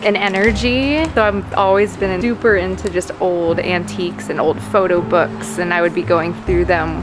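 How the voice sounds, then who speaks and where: A woman speaks at a moderate pace. Music plays behind her. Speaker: vlogger. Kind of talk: casual vlog chat. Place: shop. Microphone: phone near.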